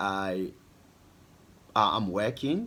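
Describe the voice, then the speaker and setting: Lively in intonation, a man with a very deep, low pitch speaks in a strong South African accent. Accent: South African, strong; swallows words. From South Africa, Eastern Cape. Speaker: youtuber, media strategist. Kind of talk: casual vlog Q&A. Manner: halting, many repetitions and fillers.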